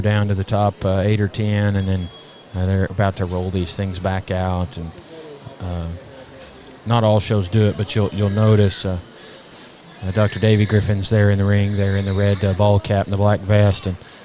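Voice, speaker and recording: A man with a Southern US accent speaks in a fairly low, monotone, flat voice. Long, frequent pauses break his speech over noticeable background noise. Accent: southern drawl. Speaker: livestock show commentator. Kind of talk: live commentary. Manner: halting, many fillers.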